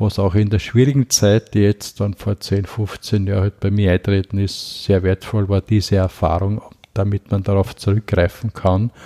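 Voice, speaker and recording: Recorded very cleanly against a silent background with a dry, close sound and no echo, a man speaks at a moderate pace in a fairly low pitch, with a dark, mellow tone and monotone, flat intonation. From Lower Austria. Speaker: activist on poverty and mental health. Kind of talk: interview, personal life story.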